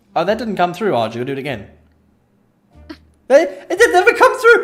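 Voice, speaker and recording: Over background music, a man talks at a fairly quick pace with big swings in loudness. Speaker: gaming streamer. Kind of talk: casual chat. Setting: live stream from home room.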